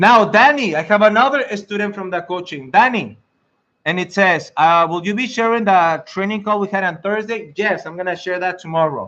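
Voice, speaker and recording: A man's high-pitched voice with a strong Mexican accent, bright, sharp tone, moderate pace and ordinary pitch variation. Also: quiet background. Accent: thick Mexican Spanish. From Mexico. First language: Spanish. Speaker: IT career coach and network engineer. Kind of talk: live stream talk to viewers. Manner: animated; halting.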